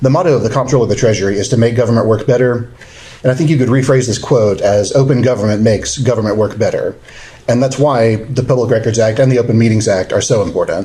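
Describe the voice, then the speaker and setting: A man mumbles at a very fast pace with fairly even intonation and very even loudness, with audible room echo and noticeable background noise. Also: medium pitch for a man. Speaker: government lawyer giving training. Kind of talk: training seminar lecture. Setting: seminar room with live audience. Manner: mumbling.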